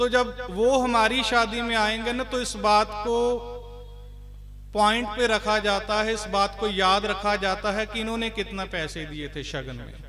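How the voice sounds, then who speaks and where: Over music in the background, the speaker uses a raised, projected voice. The intonation is fairly even, with a Punjabi accent. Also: man, high pitch for a man. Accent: Punjabi-tinged Hindi. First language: Punjabi (speaking Hindi). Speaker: Sikh preacher. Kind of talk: religious discourse. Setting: gurdwara with congregation.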